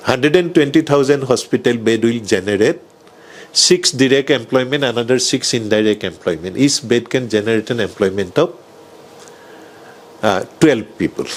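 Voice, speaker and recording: A man with a medium pitch at a moderate pace, with ordinary pitch variation and noticeable background noise. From Assam, India. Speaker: doctor, hospital founder. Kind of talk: interview answer. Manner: soft-spoken.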